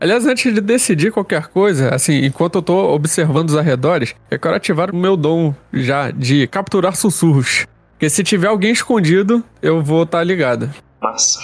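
Recorded very cleanly against a silent background, a man talks at a moderate pace in a high pitch, with lively intonation and very even loudness. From Rio de Janeiro. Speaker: RPG player. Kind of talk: tabletop roleplay in character.

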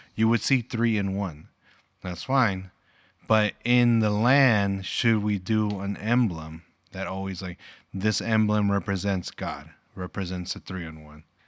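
Recorded very cleanly against a silent background, a man speaks in an ordinary speaking voice with a fairly low pitch and big swings in loudness. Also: ordinary pitch variation. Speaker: podcast host and father. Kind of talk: casual family chat.

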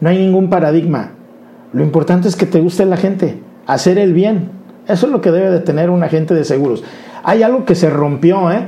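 Against noticeable background noise and audible room echo, a man with a high pitch speaks at a fairly quick pace with ordinary pitch variation and very even loudness. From Mexico, Colima (grew up moving around the country). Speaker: insurance advisor. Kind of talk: interview. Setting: studio.

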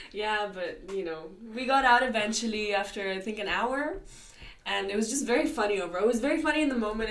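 A woman's fairly high voice, very fast and with lively intonation. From India. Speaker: university student radio club member. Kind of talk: casual chat.

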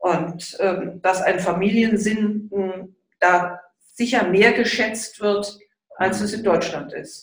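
A woman's medium-pitched, very slow delivery with fairly even intonation. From Munich, Bavaria. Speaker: mother of the host, homemaker. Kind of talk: interview, casual chat.

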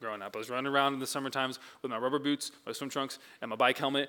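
Speaking with an American accent, a man at medium pitch delivers his words in a bright, sharp tone with monotone, flat intonation. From Oregon, US Pacific Northwest. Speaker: church staff member preaching. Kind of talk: sermon. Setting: church service with congregation. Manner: filler-heavy with frequent um and uh.

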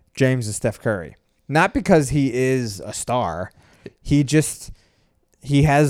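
Speaking fairly slowly, a man has an unremarkable speaking voice, medium in pitch with ordinary pitch variation. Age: 40s. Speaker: podcast co-host. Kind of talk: casual chat. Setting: home recording late at night.

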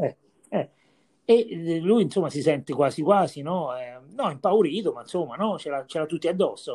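A man with a high pitch and a dark, mellow tone speaks at a moderate pace. His intonation is lively, and his loudness swings widely. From Viterbo area, central Italy. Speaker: podcast host. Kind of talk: casual interview.

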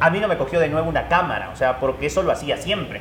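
There is audible room echo and noticeable background noise. A man speaks at a fairly high pitch with ordinary pitch variation. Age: 30s. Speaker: football commentator. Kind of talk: casual chat. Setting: coffee shop.

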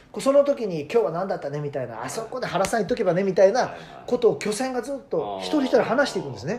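Very fast speech with very wide pitch swings over noticeable background noise. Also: man, high pitch for a man. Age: 40s. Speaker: radio personality. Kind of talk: casual chat.

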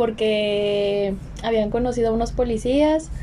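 A woman with a Mexican accent speaks at a very slow pace. Her pitch sits fairly high. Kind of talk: casual chat.

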